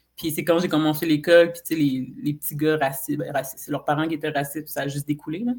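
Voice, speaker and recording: Talking at a very fast pace with hardly any pauses, a woman with a very deep, low pitch shows ordinary pitch variation and big swings in loudness. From Quebec, Saint-Eustache. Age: 30s. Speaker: podcast guest. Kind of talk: casual chat.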